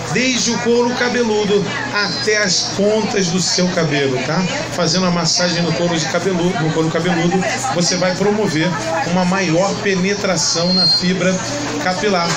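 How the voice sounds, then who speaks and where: Over crowd noise in the background, a man talks at a high pitch with ordinary pitch variation. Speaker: announcer / product presenter. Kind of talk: product promotion presentation to camera.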